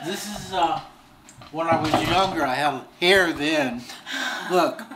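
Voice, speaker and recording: Someone talks at a very slow pace against loud background noise. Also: man. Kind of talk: interview answer. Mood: warm, nostalgic, laughing. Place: home room. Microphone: camera far.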